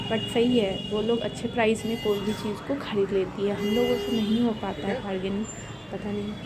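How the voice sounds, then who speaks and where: A woman speaks at a medium pitch and moderate pace, with audible room echo and noticeable background noise. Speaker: vlogger. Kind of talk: casual vlog narration.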